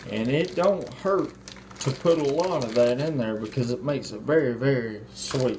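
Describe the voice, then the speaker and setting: A man speaks at a medium pitch with lively intonation, with audible room echo and noticeable background noise around him. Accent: Mississippi. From US South, Mississippi. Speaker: home cook, video host. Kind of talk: cooking tutorial. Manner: slow; casual.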